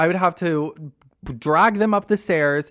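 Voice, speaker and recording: A man talks at a fairly slow pace with ordinary pitch variation in a plain, everyday voice. The recording is very clean, with a silent background. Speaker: podcaster. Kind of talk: casual talk to camera.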